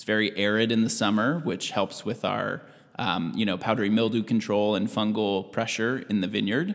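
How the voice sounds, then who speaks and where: Here is a man with an American accent and a plain, everyday voice. His pitch is fairly low, with ordinary variation. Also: moderate pace. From US Pacific Northwest, Washington State. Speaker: farm manager. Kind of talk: interview.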